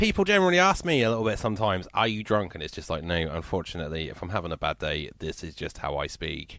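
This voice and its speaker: With a Yorkshire accent, a man talks very fast with hardly any pauses, his very deep, low voice carrying a bright, sharp tone and ordinary pitch variation, on a very clean recording with a silent background. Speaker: radio host. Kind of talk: radio show chat. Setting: radio studio. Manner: slurred speech; casual, chatty.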